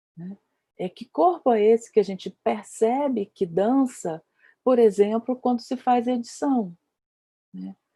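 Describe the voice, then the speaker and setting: Somewhat breathy and dark, mellow in tone, a woman speaks at a fairly high pitch with ordinary pitch variation. Her pace is fairly slow, with long, frequent pauses, and the sound is dry and close with no echo. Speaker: dance researcher and lecturer, panelist. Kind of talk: panel discussion talk. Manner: hesitant, many fillers.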